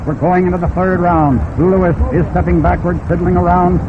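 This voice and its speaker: Behind this man's voice there is noticeable background noise. He talks fairly quickly. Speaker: sports announcer. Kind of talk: live radio boxing commentary. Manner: fast.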